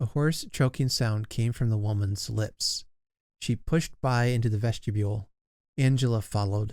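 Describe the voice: Someone gives a plain reading aloud against a quiet background.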